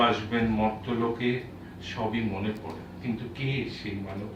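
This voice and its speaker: A man talks at a medium pitch while noticeable background noise carries on behind him. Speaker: poet. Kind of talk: poetry reading. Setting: live book launch event.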